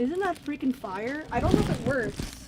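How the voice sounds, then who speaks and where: The tone is animated. Noticeable background noise runs underneath. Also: woman. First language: not English. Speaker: video game reseller unboxing mail. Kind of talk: casual unboxing video.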